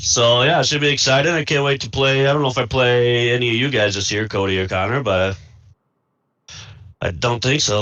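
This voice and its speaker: This speaker is a man with an American accent. His delivery is fairly quick. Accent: thick Midwest accent (per another player). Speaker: video game player. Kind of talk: post-game interview.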